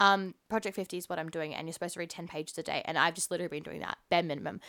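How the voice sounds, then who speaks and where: Animated and very fast, a woman with an Australian accent talks at a fairly low pitch with ordinary pitch variation, in a very clean recording against a silent background. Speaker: podcast host. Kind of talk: casual interview.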